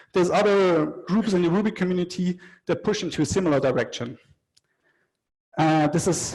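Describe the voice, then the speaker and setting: A man speaks in a somewhat breathy voice. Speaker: conference speaker, software developer. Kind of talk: technical talk. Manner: fast.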